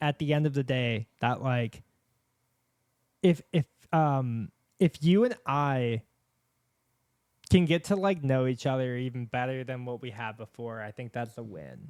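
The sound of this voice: Fairly slow delivery with long, frequent pauses, a clear, smooth tone and lively intonation. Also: man.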